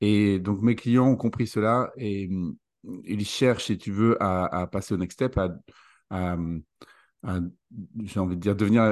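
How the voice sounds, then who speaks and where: Fairly slow speech from a man with a fairly low pitch and fairly even intonation, over a quiet background. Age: 40s. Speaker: leadership coach. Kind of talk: interview.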